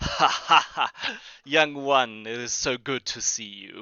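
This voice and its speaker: Putting on a character voice, a man talks fairly slowly in a warm, booming tone at medium pitch, his intonation fairly even. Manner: warm, hearty laugh.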